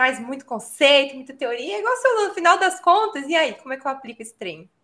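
This woman has a Minas Gerais accent and speaks at a fairly quick pace. Her pitch swings very widely. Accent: Minas Gerais (mineiro). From São Paulo, Brazil. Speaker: teacher and educational content creator. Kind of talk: casual interview chat.

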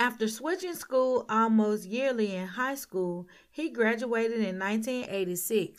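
Someone does plain reading aloud, and the pitch shifts in an ordinary way.

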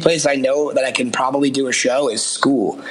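Over noticeable background noise and audible room echo, a man with an American accent talks fairly quickly at a fairly high pitch. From Massachusetts, near Boston. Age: 30s. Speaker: rock band frontman. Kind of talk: casual chat.

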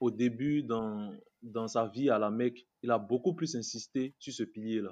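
Over a quiet background, a man with an unremarkable speaking voice talks fairly slowly at a medium pitch with fairly even intonation. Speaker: student and online commentator. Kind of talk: casual interview.

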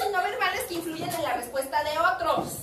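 The voice is loud and animated at a moderate pace, with audible room echo and noticeable background noise. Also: woman. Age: 50s. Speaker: teacher. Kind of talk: lecture.

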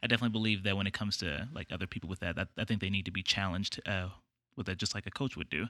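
In a very clean recording with a silent background, a man with an American accent speaks in a bright, sharp tone with fairly even intonation. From East Texas, small town. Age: young. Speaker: college student. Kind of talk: casual chat.

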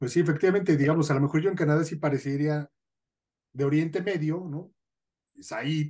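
A man's fairly high, dark and mellow voice at a fairly quick pace, with fairly even intonation, big swings in loudness and long, frequent pauses. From northern Mexico. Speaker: podcast host, sociologist. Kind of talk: casual chat.

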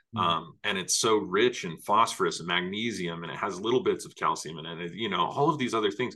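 A man with a fairly low pitch and a bright, sharp tone talks at a very fast pace, with lively intonation and big swings in loudness. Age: 30s. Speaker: podcast host and herbal alchemist. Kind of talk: casual interview chat.

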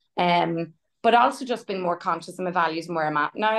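This woman has a normal speaking voice, fairly low in pitch. She talks fairly quickly with ordinary pitch variation. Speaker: program member. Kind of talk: group coaching call. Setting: video call.

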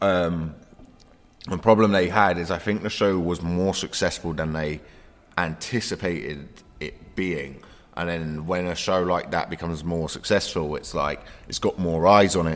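A man speaks with a South London accent. His pitch is very deep and low, and his intonation fairly even. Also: moderate pace. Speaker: comedian. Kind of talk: casual chat.

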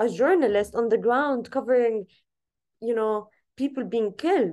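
Fairly high-pitched female speech with an Arabic accent, ordinary pitch variation and a moderate pace against a quiet background. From Gaza, Palestine. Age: 20s. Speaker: activist and journalist. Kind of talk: interview.

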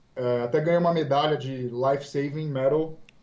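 A man with a fairly high pitch and fairly even intonation has a plain, everyday voice. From Brazil, Santos (São Paulo coast). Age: 20s. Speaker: police officer. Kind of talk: interview.

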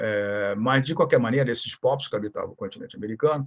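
At a very fast pace, a man speaks with a medium-pitched voice and ordinary pitch variation. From Rio de Janeiro, Brazil. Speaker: historian. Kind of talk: interview, historical lecture.

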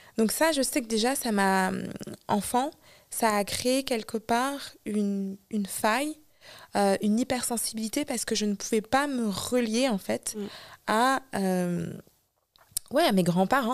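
On a very clean recording with a silent background, a woman with a fairly high pitch and ordinary pitch variation speaks at a very slow pace with long, frequent pauses. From France. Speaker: singer and spiritual healer. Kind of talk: interview. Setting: studio.

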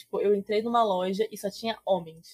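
At a moderate pace, a woman speaks with a medium pitch and a somewhat breathy quality. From Rio de Janeiro state interior. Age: 20s. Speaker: Magic streamer and historian. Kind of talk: casual chat.

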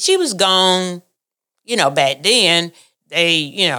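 Here a woman speaks in a fairly low pitch. Her pace is fairly slow. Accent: Southern US. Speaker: family member. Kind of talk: storytelling.

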